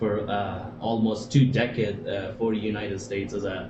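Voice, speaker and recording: With fairly even intonation and a somewhat breathy quality, a man talks at medium pitch amid audible room echo. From Afghanistan. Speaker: former military interpreter, financial services worker. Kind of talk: interview. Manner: hesitant, many fillers.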